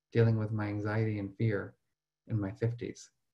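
A man speaks in a dark, mellow tone that is somewhat breathy. The background is quiet. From New Jersey. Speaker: professor and emotional intelligence researcher; professor. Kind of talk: webinar presentation. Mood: earnest, personal.

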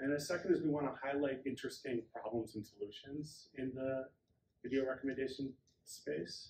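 A man speaks at a fairly quick pace in a somewhat breathy voice. Light background noise can be heard. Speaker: speaker. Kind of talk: conference introduction. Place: hall. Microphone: camera far.

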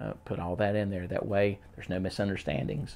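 A man speaks in an unremarkable speaking voice at a moderate pace. His pitch is fairly low, with ordinary variation. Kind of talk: casual advice talk to camera.

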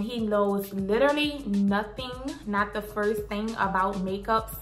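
With faint music in the background, a woman speaks in a fairly high pitch. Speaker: beauty vlogger. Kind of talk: casual talk to camera. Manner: upbeat. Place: home room.

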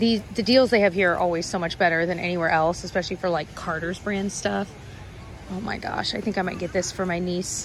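A woman speaks with fairly even intonation in a dry recording with no echo and light background noise. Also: fairly quick pace. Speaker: shopping vlogger. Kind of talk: casual vlog chat. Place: shop. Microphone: phone near.

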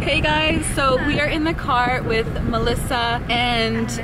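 Very slow speech from a woman over music in the background. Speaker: travel vlog host. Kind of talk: casual vlog chat. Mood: cheerful, laughing. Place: car. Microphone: phone near.

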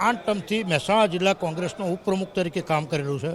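A man's pitch varies in an ordinary way as noticeable noise runs in the background. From north Gujarat (Mehsana district), India. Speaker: local politician. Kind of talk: news interview.

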